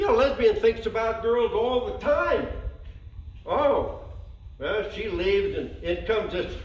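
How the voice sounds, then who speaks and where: Noticeable background noise is heard throughout. Over it, a man speaks at a fairly slow pace, leaving long, frequent pauses. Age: 80s+. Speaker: amateur joke teller. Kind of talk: joke telling at a party. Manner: folksy cowboy storytelling.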